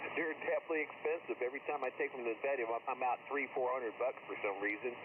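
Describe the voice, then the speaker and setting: A man's very fast speech, with ordinary pitch variation, comes through noticeable background noise. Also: medium pitch for a man. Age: 60s. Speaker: amateur radio operator. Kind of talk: casual radio chat. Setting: ham radio contact.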